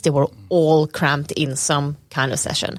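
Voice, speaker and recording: Speaking at a moderate pace, a woman talks with a Swedish accent. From Sweden. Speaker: data scientist. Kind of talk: casual chat. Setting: inside a planetarium.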